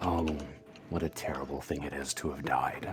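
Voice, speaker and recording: Over clear background music, a soft-spoken man does a put-on character voice, very deep and low, at a moderate pace. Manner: mournful, gentle.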